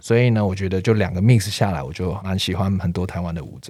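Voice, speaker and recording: A man speaks in a fairly low pitch with ordinary pitch variation. His tone is dark and mellow. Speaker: street dancer. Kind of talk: casual interview.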